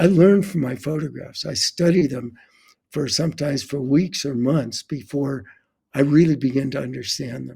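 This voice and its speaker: Somewhat breathy, a man's fairly high voice with a dark, mellow tone, big swings in loudness, ordinary pitch variation and a moderate pace. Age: 80s+. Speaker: photographer. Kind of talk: interview conversation. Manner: halting, many repetitions.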